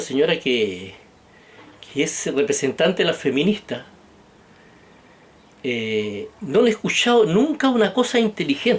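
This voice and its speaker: Someone speaks in a Chilean accent, pitch swinging very widely. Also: man. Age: 60s. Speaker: political vlogger. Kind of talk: political monologue. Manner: animated.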